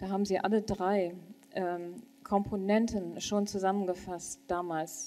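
A woman speaks with fairly even intonation. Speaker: church leader; panelist. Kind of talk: panel discussion. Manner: halting. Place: hall. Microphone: handheld.

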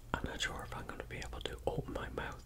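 A man speaks fairly quickly while loud noise fills the background. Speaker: ASMR food vlogger. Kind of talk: casual vlog chat. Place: home room. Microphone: earbuds.

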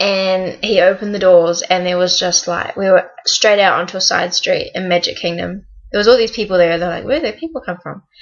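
A woman at a moderate pace over a quiet background. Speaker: vlogger on work exchange program. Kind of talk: casual vlog chat. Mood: excited, storytelling. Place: home room. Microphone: webcam.

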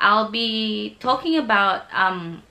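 A woman at medium pitch speaks at a very slow pace against noticeable background noise. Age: 20s. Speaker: vlogger. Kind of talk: casual vlog.

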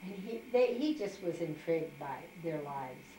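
The recording carries light background noise and audible room echo. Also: woman. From Kansas. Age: 70s. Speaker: interviewee telling her life story. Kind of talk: interview answer. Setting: home. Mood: warm, animated reminiscing. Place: home room. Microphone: camera far.

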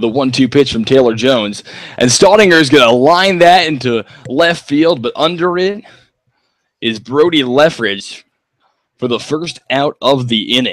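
It is an unremarkable speaking voice. The intonation is lively, and the pace is moderate. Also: man, fairly high pitch for a man. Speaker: color commentator. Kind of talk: live baseball commentary, play-by-play calls.

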